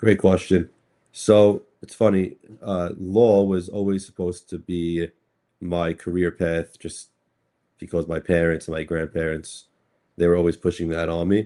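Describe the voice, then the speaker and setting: In a very clean recording with a silent background, a man with a New York accent speaks fairly slowly in a very deep, dark, mellow voice, his intonation monotone and flat but his loudness swinging widely. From Brooklyn, New York. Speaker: cryptocurrency attorney. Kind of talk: podcast interview. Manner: halting, many fillers and repeats.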